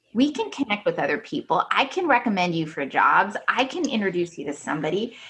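Over noticeable background noise, a woman talks at a fairly quick pace with hardly any pauses, her fairly high voice making very wide pitch swings. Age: 40s. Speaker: business development manager at an engineering firm. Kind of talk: interview conversation.

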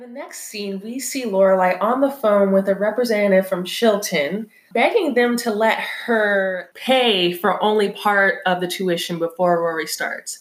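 A plain, everyday voice at a moderate pace, with ordinary pitch variation and hardly any pauses. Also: woman, medium pitch for a woman. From California. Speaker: podcast co-host. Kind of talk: casual chat.

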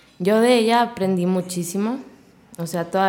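Here a woman is speaking. Her pitch variation is ordinary. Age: 20s. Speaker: fitness studio owner. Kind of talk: casual interview.

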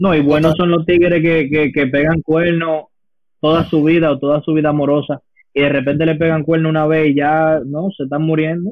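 A man's fairly high-pitched voice at a fairly quick pace, with very even loudness. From United States and Dominican Republic. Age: young. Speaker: podcast co-host. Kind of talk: casual chat. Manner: animated.

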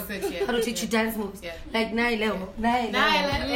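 The woman talks at a moderate speed, her fairly high voice keeping a fairly even intonation while noticeable noise fills the background. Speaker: podcast guest, performer.

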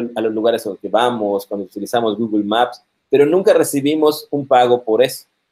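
Speaking at a moderate pace, a man with a dark, mellow tone keeps a medium pitch and ordinary pitch variation. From Mexico, Yucatán (Mérida). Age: 40s. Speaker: computer science professor. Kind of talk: interview on live stream.

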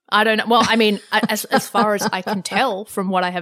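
A woman speaks with an Australian accent. Her pitch is medium and her pace fairly quick. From Australia, Lebanese background. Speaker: journalist and media commentator. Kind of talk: interview conversation. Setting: remote interview during self-isolation.

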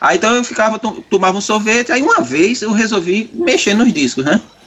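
Noticeable background noise accompanies a man with a high pitch talking at a moderate speed. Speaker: metal musician. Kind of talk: casual chat.

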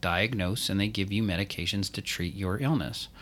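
In a very clean recording with a silent background, a man speaks at a moderate pace with a fairly low pitch, a bright, sharp tone and fairly even intonation. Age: 40s. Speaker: functional medicine pharmacist. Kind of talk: casual podcast chat.

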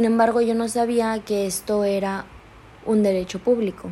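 A woman speaks in a dark, mellow tone at a fairly high pitch with fairly even intonation. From Chiapas, Mexico. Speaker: law student. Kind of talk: student presentation. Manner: formal.

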